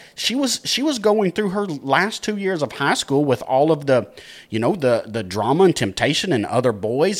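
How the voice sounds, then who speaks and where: Very wide pitch swings with a Texan accent. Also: man. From Texas, Dallas area. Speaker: podcast producer and co-founder. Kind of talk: casual chat.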